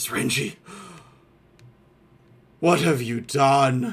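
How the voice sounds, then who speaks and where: This man speaks in a put-on character voice with a raspy edge. His pitch sits at a medium level. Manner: despairing, shattered.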